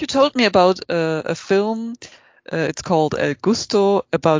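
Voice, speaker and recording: This woman speaks with a German accent at a medium pitch. Her intonation is lively. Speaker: podcast host. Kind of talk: interview. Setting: video call.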